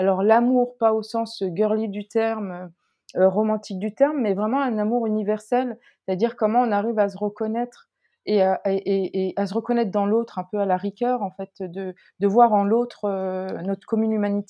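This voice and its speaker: Her fairly high pitch holds fairly even intonation as this woman speaks. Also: moderate pace. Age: 40s. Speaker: sociologist. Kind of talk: interview. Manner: halting.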